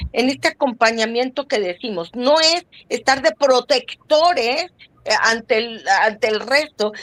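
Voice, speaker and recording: In a dry, close recording with no echo, a woman with a high-pitched voice speaks at a fairly slow pace with ordinary pitch variation. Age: 60s. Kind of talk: podcast interview.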